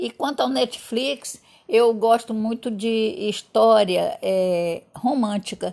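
Her fairly high voice is lively in intonation as this woman speaks at a very slow pace. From Northeast Brazil, Fortaleza. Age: 70s. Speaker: grandmother, interviewee. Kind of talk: casual chat.

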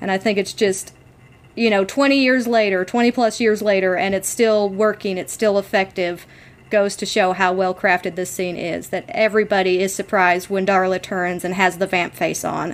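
A woman talks at a moderate pace in a normal speaking voice. Her pitch is medium and her intonation fairly even. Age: 30. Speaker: podcast co-host. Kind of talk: casual chat.

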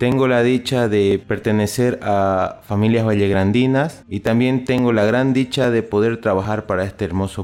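Here is a normal speaking voice from a man at medium pitch. He keeps a moderate pace and fairly even intonation. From Bolivia, Santa Cruz de la Sierra. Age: 30s. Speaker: environmental engineer. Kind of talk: radio interview statement. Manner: formal.

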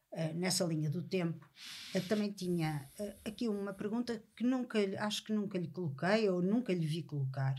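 A woman's somewhat breathy voice, fairly low in pitch, with a dark, mellow tone. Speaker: podcast host. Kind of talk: interview.

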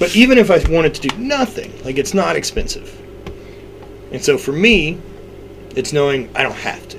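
Noticeable background noise runs behind a man talking at a moderate pace. He leaves long, frequent pauses, and his loudness swings widely. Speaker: strongman athlete and fitness business owner. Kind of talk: casual chat. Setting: in person. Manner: animated.

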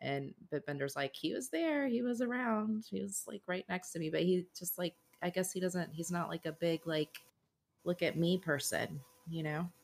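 The sound is dry and close, with no echo. A woman has a normal speaking voice, fairly low in pitch, with lively intonation. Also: moderate pace. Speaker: podcast co-host. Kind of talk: casual podcast chat. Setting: online call.

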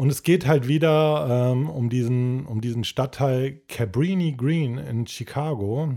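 A very clean recording with a silent background of a man at medium pitch, speaking at a very slow pace with hardly any pauses and ordinary pitch variation. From Cologne, Rhineland, Germany. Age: 30s. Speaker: podcast co-host. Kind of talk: casual chat.

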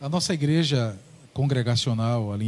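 Somewhat breathy, a man of medium pitch speaks at a moderate pace with ordinary pitch variation. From Paraíba, Brazil (Ingá). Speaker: pastor. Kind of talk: religious talk show discussion. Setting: studio.

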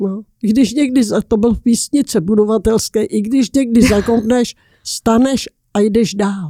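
A woman's somewhat breathy, dark and mellow voice moves at a fairly slow pace. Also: fairly high pitch for a woman, ordinary pitch variation. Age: 80s+. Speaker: interviewee, great-aunt. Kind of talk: casual chat. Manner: halting.

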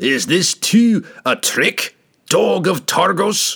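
Putting on a raspy character voice, a man speaks at a very slow pace, high in pitch. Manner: enraged, challenging.

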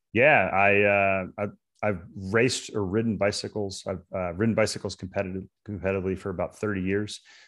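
Fairly quick in pace, a man speaks with a fairly low pitch. His intonation stays fairly even. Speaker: real estate investor and author. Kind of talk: interview, deal explanation. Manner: calm, explanatory.

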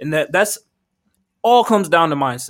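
With an animated tone and lively intonation, a man talks at a fairly quick pace and a high pitch, recorded very cleanly against a silent background. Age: young. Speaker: podcast host and entrepreneur. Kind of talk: casual chat.

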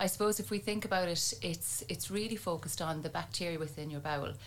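In an Irish accent, a woman talks at a very fast pace. Her pitch is fairly low. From Ireland, County Tipperary. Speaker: neuroscience researcher and university lecturer. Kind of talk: interview.

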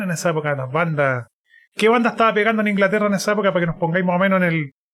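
Very fast talk from a man with a high pitch and lively intonation. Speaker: podcast co-host. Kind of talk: casual chat.

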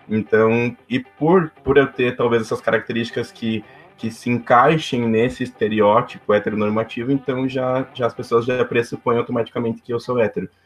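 Speaking at a moderate pace with hardly any pauses, a man keeps a medium pitch and fairly even intonation. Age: 20s. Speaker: civil engineer and youth club volunteer. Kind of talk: interview. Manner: halting.

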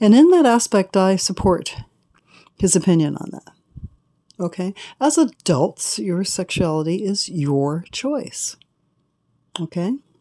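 A woman with a medium pitch and a dark, mellow tone speaks at a fairly slow pace with long, frequent pauses. Her pitch swings very widely and her loudness shifts in big swings. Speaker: podcast host. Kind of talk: solo opinion monologue. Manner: hesitant with fillers.

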